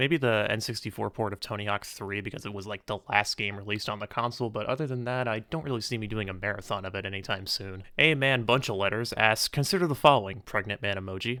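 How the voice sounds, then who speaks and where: Bright and sharp in tone, a man with fairly low pitch and ordinary pitch variation rushes along at a very fast pace with hardly any pauses. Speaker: YouTuber answering viewer questions. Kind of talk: casual Q&A monologue. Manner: stutter; unscripted, may stumble over words.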